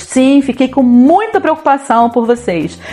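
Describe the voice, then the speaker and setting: A woman talks in a high pitch while music plays in the background. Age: 50s. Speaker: city council candidate, retired teacher. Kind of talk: political campaign talk to camera.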